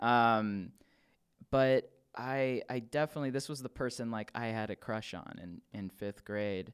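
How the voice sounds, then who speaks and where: A man with a plain, everyday voice and an American accent, medium pitch, ordinary pitch variation and a fairly slow pace, on a very clean recording with a silent background. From Los Angeles. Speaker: podcast guest. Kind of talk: casual chat.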